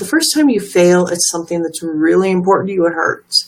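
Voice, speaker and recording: At a moderate pace, this woman talks in a medium pitch. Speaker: motivational livestream host. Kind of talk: motivational talk. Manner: soft-spoken; hesitant, many fillers.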